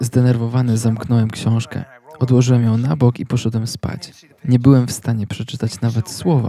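At a moderate pace, a man talks with fairly even intonation at a medium pitch. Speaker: channel host and sermon translator. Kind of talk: voice-over reading of a translated sermon. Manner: halting, filler-heavy in own intro.

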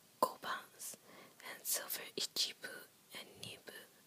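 The voice whispers at a fairly slow pace. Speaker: reader of a children's book. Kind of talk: whispered ASMR picture book reading. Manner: whispered, soft, relaxing. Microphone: phone near.

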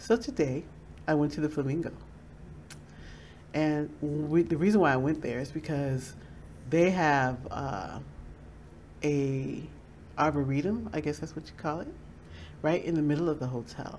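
With light background noise, a woman speaks at a moderate pace and a very deep, low pitch, with ordinary pitch variation, big swings in loudness and long, frequent pauses. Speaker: vlogger. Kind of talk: casual vlog chat. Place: home room. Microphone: webcam.

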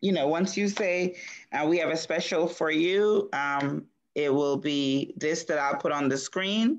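Over light background noise, a woman with a plain, everyday voice speaks at a moderate pace, fairly low in pitch, with ordinary pitch variation. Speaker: show producer. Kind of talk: casual chat. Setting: video call. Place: home room. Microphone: video call.

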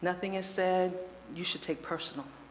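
A woman with an American accent speaks at a moderate pace. Noticeable background noise runs throughout. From Lebanon, Ohio, US Midwest. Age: 60s. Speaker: public commenter at city council. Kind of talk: public comment testimony.

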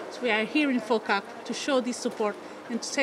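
A woman speaks at a fairly quick pace with fairly even intonation. Noticeable background noise runs underneath. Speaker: government minister. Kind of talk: interview answer. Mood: formal, diplomatic. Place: hall. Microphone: handheld.

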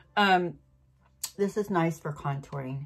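A woman speaks with faint music in the background. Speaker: beauty vlogger. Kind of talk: casual makeup tutorial chat. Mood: relaxed, self-deprecating, laughs. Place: home room. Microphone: phone near.

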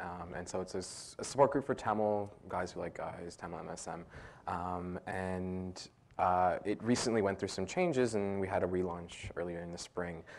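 A man speaks with a very deep, low pitch and fairly even intonation. He leaves hardly any pauses. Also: moderate pace. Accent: Canadian. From Canada (Toronto); Canada. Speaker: community worker, panelist; panelist. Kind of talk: panel discussion. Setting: public forum with audience. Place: classroom.

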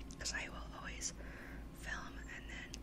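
A woman is heard over loud background noise. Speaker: ASMR creator. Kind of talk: ASMR whispered rambles. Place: home room. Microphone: studio mic.

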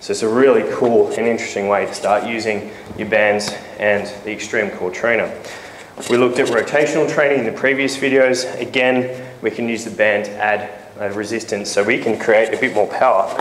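A man talks at a moderate pace with fairly even intonation, with light background noise and audible room echo. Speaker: fitness trainer. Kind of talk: tutorial. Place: gym.

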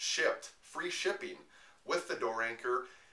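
At a moderate pace, a man talks in a room with audible echo. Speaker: personal trainer. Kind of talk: promotional tutorial talk. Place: home room. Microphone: camera far.

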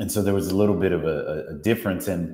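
A man speaks with a dark, mellow tone against a quiet background, his voice carrying audible room echo. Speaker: guest. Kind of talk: interview answer. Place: home room. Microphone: earbuds.

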